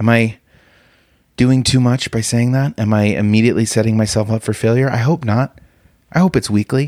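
A man talks at a fairly quick pace with a medium pitch and very even loudness, leaving long, frequent pauses. The recording is very clean with a silent background, and the sound is dry and close with no echo. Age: 30s. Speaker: comedian. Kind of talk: solo comedy podcast monologue. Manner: animated, with laughs; halting, repeats words.

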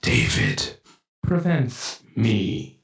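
A man's put-on character voice at a medium pitch. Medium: actual play. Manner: terse, broken phrasing, menacing.

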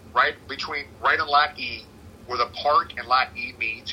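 A man talks fairly slowly, his pitch varying in an ordinary way, while noticeable background noise is present. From Cincinnati. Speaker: tailgate organizer and sports superfan. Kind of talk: casual interview. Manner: animated.

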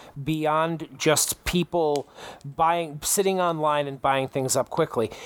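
A man with a fairly high pitch and a normal speaking voice talks at a fairly slow pace. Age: 30s. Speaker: gaming podcast host. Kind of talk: casual chat.

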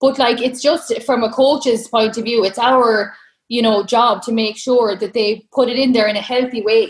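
Spoken in an Irish accent at a moderate pace. The intonation is fairly even. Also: woman. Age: 30s. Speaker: online fitness coach. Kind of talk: casual interview chat.

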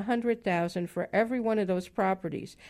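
A woman with an unremarkable speaking voice, lively intonation and a moderate pace, over a quiet background. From Chicago, US Midwest. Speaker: property management consultant. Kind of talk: radio interview.

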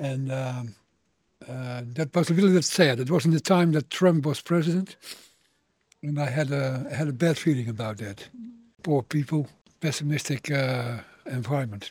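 Speaking with a Dutch accent, a man with a fairly high pitch and a somewhat breathy voice keeps a moderate pace broken by long, frequent pauses. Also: ordinary pitch variation. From Netherlands. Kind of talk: street interview. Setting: outdoors. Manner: halting.

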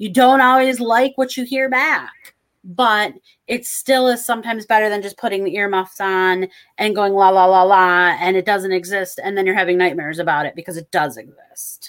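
At a moderate pace, a woman with an ordinary speaking voice talks at medium pitch with ordinary pitch variation and big swings in loudness. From Michigan. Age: 50s. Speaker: psychic medium. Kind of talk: casual chat.

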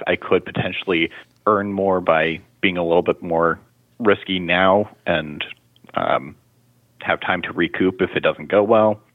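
A man with a very deep, low voice speaks at a fairly slow pace, his intonation fairly even and broken by long, frequent pauses. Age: 20s. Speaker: state government employee, caller. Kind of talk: call-in question. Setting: phone call.

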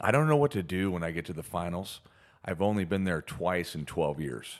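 This very clean recording, with a silent background, features a man with an American accent, a very deep, low pitch and lively intonation. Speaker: podcast co-host. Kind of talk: casual chat podcast. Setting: recording studio.

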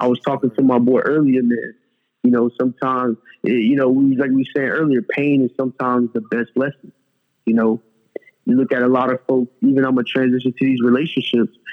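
A man with an American accent at medium pitch, fairly quick pace, very even loudness and fairly even intonation, with music in the background. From South Florida (Fort Lauderdale, Broward County). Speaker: fitness entrepreneur. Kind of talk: casual chat.

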